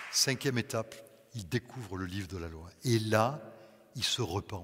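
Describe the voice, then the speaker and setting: Somewhat breathy, a man of medium pitch speaks at a fairly slow pace. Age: 60s. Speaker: pastor. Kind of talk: sermon.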